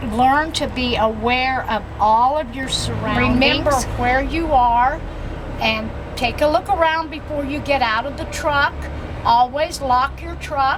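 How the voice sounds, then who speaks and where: Her high pitch varying in an ordinary way, a woman speaks at a fairly slow pace amid audible room echo and noticeable background noise. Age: 70s. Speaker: truck driver. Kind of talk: testimony.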